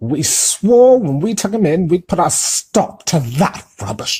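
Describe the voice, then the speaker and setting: A man's put-on character voice, high in pitch, with very wide pitch swings at a fairly slow pace. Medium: read story.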